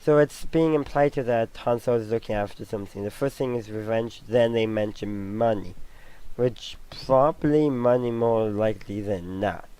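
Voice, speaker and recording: With a dark, mellow tone and a medium pitch, a man speaks at a moderate pace with ordinary pitch variation. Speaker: Star Wars commentator. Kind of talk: trailer reaction, casual talk to camera. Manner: rambling, thinking aloud.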